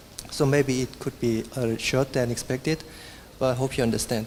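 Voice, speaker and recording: Recorded with noticeable background noise, the man keeps a medium pitch and fairly even intonation. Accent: Korean. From South Korea. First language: Korean. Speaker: software engineer and conference speaker. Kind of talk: conference talk. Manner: halting.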